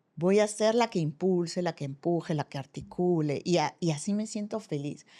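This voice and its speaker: Against a silent background in a very clean recording, a woman with a dark, mellow tone talks at a moderate pace in a fairly low pitch with ordinary pitch variation. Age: 60s. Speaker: former university rector, business school director. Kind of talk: podcast interview conversation.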